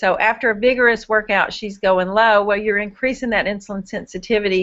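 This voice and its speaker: A woman's fairly high pitch in a normal speaking voice, with fairly even intonation. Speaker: diabetes education student presenter. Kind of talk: live Q&A webinar.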